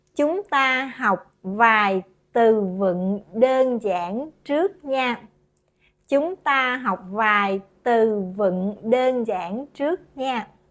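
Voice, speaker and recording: At a very slow pace, a woman with a Southern Vietnamese accent speaks at a fairly high pitch with lively intonation. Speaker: language teacher. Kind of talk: tutorial. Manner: slow, clear.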